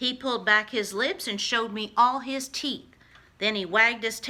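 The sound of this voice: The voice heard here is an unforced reading voice.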